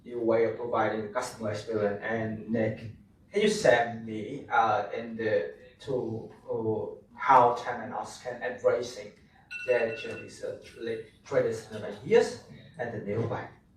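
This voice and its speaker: Room echo can be heard. The talking proceeds fairly slowly. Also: man. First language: Vietnamese. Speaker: panel moderator. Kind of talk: panel moderation.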